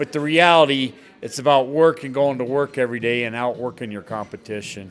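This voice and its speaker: In an ordinary speaking voice, a man talks at a fairly quick pace with a medium pitch and ordinary pitch variation. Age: 60s. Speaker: bar owner and businessman. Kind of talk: interview.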